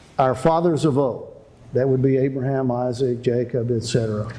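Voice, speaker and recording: Heard with audible room echo, the voice moves at a moderate pace with a dark, mellow tone. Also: man. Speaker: prophecy seminar preacher. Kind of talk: sermon. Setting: seminar with audience. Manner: animated.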